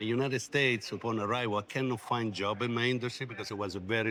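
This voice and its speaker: At a very fast pace, a man talks with fairly even intonation and a medium pitch. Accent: Italian. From Italy. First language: Italian. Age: 60s. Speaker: logistics company CEO. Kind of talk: interview.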